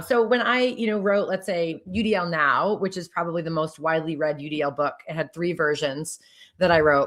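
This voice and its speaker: A woman speaks with lively intonation at a moderate pace. Hers is an unremarkable speaking voice. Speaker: education author and consultant. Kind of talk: podcast interview.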